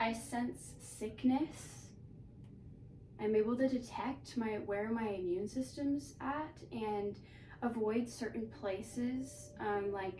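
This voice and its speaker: A woman talks very slowly in a fairly high pitch. The room echo is audible, and background noise is noticeable. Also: ordinary pitch variation. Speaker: vlogger. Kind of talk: casual monologue. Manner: hesitant, filler words.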